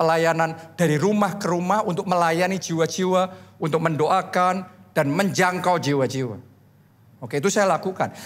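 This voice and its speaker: Pitched high, a man speaks in an animated tone with ordinary pitch variation. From Central Java, Solo; Central Java. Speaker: pastor. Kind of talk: sermon. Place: church. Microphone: handheld.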